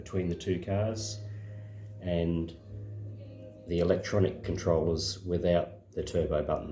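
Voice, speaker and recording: A man with a very deep, low voice talks at a fairly slow pace. Music plays in the background and the room echo is audible. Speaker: slot car hobbyist and video maker. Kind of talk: casual demonstration tutorial. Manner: hesitant, many fillers.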